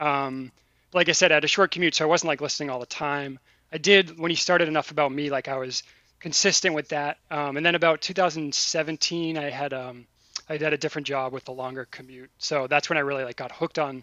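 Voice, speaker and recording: A man speaks in a normal speaking voice, fairly high in pitch, moving at a fairly quick pace with fairly even intonation. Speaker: podcast guest and fan caller. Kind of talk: casual chat.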